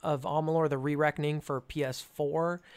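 A man with an American accent speaks at a moderate pace in an unremarkable speaking voice, his pitch fairly high, on a very clean recording with a silent background. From California. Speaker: YouTuber. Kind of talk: casual chat.

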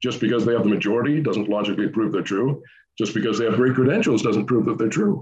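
Very fast, somewhat breathy speech from a man, with very even loudness and ordinary pitch variation. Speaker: creationist scientist. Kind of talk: interview.

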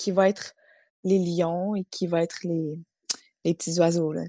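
A woman's fairly low, dark, mellow voice, very slow and monotone with flat intonation, broken by long, frequent pauses, in a dry, close sound with no echo. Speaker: podcast host. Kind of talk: casual chat.

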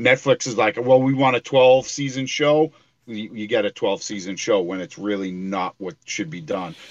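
A man with an ordinary speaking voice talks at a moderate pace, at medium pitch and with lively intonation, in a dry, close sound with no echo. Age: 40s. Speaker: comic and toy collector. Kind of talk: casual chat.

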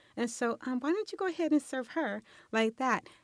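A woman with an American accent speaks at a moderate pace, her pitch swinging very widely. The recording is very clean with a silent background and a dry, close sound with no echo. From Los Angeles. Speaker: mother of five. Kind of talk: interview. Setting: studio.

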